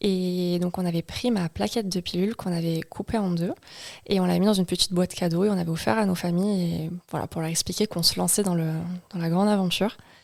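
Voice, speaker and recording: Very fast speech from a woman, fairly low in pitch and fairly even in intonation. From Marseille, southern France. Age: 20s. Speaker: psychomotor therapist, new mother. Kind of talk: podcast interview.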